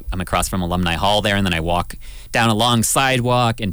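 Talking at a very fast pace, a man with a Canadian accent has a fairly low pitch and a bright, sharp tone. His pitch variation is ordinary. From southwestern Ontario, Canada. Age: 30s. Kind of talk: radio talk show, casual chat. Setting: radio studio.

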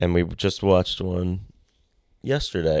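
On a very clean recording with a silent background, a man with a very deep, low pitch speaks at a fairly slow pace. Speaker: guest. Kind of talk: casual chat. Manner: casual, joking.

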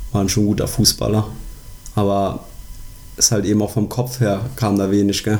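Speaking at a moderate pace with long, frequent pauses, a man uses a fairly low pitch, monotone, flat intonation and very even loudness. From Germany, Koblenz area. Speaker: sports podcast co-host. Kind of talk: casual chat.

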